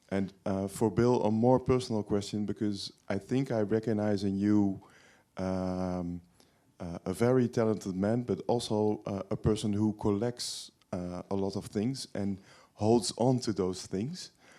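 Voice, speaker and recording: A man speaks with a Dutch accent in a dark, mellow tone. His pace is fairly slow, and his intonation is fairly even. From Netherlands, Hilversum. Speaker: audience member. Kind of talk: audience question. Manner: halting.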